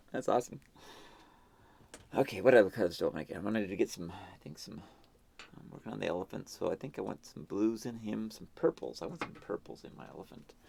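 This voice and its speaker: Whispering and mumbling at a very fast pace, a man's voice swings widely in loudness. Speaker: artist painting live. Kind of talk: live painting stream commentary.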